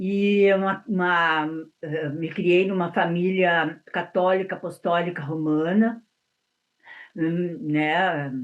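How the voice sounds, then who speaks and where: With fairly even intonation, a woman speaks at a fairly low pitch over a quiet background. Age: 60s. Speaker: writer and abuse survivor. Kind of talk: interview testimony. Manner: halting, many repetitions and fillers.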